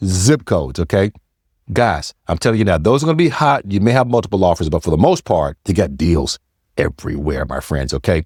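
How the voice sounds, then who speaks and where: In an American accent, a man with a very deep, low pitch and vocal fry talks at a fairly quick pace in an animated tone with very wide pitch swings, the sound dry and close with no echo in a very clean recording with a silent background. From US South, Charlotte area, North Carolina. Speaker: realtor. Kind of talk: real estate vlog.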